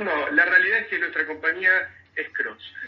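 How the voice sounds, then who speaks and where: A man with a Rioplatense accent talks at a fairly slow pace over noticeable background noise. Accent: Argentine Rioplatense Spanish. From Argentina, Mar del Plata. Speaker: tech company CEO. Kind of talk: radio interview. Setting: radio. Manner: halting, frequent repetitions and fillers.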